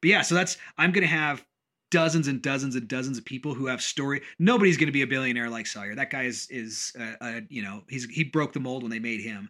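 In a very clean recording with a silent background, a man talks very fast in an animated, bright and sharp tone, at a medium pitch with ordinary pitch variation. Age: 40s. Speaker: podcast host and business owner. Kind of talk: casual chat.

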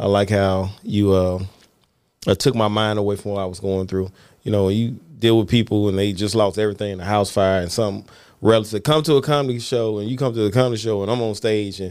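A man with a Southern US accent talks very fast at a fairly low pitch. His intonation is fairly even, and the recording is very clean with a silent background. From Mississippi. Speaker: comedian. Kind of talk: casual chat.

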